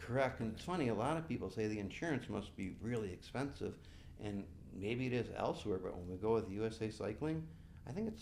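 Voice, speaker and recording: In an American accent, a man speaks fairly quickly with a fairly low pitch and lively intonation, his voice carrying audible room echo. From western New York (Buffalo). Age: 60s. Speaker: bike race director and event coordinator. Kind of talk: podcast interview.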